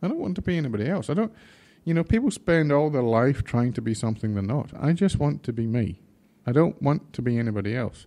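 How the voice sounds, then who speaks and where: In a Scottish accent, a man with a medium pitch and a dark, mellow tone talks at a very fast pace with lively intonation against a quiet background. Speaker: drag racing team manager. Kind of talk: podcast interview answer.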